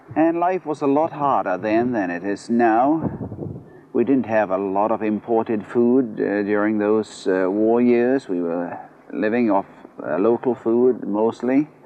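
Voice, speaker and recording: A man talks at a fairly slow pace with a medium pitch. His pitch variation is ordinary, and there is noticeable background noise. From Pitcairn Island, South Pacific. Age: 50s. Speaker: islander interviewee, radio operator. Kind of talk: interview. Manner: hesitant, with frequent fillers.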